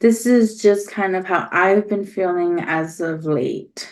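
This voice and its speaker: Mumbling at a very slow pace, a woman speaks with an American accent. Her medium-pitched voice keeps fairly even intonation. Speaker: podcast host. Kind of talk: personal monologue.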